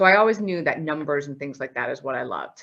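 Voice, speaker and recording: A woman with a Newfoundland accent has a very deep, low pitch, a bright, sharp tone and ordinary pitch variation. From Newfoundland, Canada (St. John's). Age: 30s. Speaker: accountant and auditor. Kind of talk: presentation to students.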